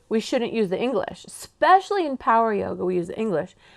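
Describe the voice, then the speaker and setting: Talking at a fairly quick pace, a woman with an American accent uses an animated tone, a fairly high pitch, and very wide pitch swings. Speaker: yoga teacher trainer. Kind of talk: lecture. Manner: casual.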